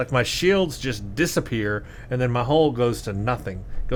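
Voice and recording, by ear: Text read aloud in a natural voice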